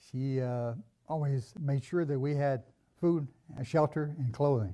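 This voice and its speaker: Speech in an American accent, at a moderate pace with ordinary pitch variation. The recording is very clean, with a silent background. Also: man. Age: 60s. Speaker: church member sharing life story. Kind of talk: personal testimony. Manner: halting, many fillers.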